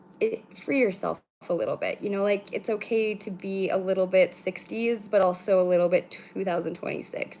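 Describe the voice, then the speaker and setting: A woman mumbles at a medium pitch with a Canadian accent and ordinary pitch variation. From British Columbia, Canada. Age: 30s. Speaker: spiritual livestream host. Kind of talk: casual livestream chat. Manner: fast, no pauses; mumbling.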